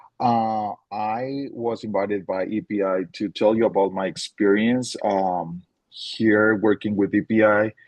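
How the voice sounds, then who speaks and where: In a Spanish accent, a man speaks at medium pitch. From Colombia (Tunja). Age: 30s. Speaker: teacher. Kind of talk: webinar presentation. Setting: online webinar.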